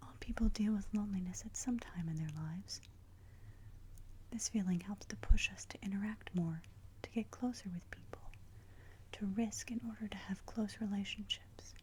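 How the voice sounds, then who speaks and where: The speech moves at a moderate pace. Long pauses come often. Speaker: ASMR creator. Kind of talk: guided meditation. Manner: soft-spoken, whispered.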